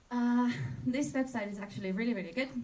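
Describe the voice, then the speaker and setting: A woman talks at a fairly quick pace with ordinary pitch variation, and audible room echo surrounds her voice. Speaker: presenter for a travel partner. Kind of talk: conference presentation.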